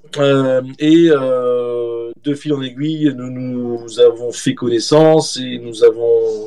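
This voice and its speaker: A man at a very slow pace and medium pitch, fairly even intonation, big swings in loudness, noticeable background noise. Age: 40s. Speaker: journalist and author. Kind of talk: interview.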